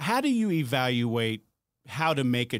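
A man with a normal speaking voice talks at a fairly slow pace and a medium pitch. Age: 40s. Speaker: podcast host, retired politician. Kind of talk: casual interview chat.

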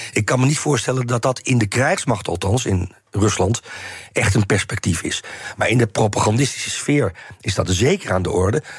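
A man talks at a moderate pace with ordinary pitch variation. His pitch is medium, and there is noticeable background noise. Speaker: historian and Russia expert. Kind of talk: interview. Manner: halting.

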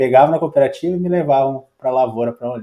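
A man talks at a very fast pace in a medium pitch with a dark, mellow tone. His pitch varies in an ordinary way. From Rio Grande do Sul, rural interior. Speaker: agronomist and startup founder. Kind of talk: interview, casual chat.

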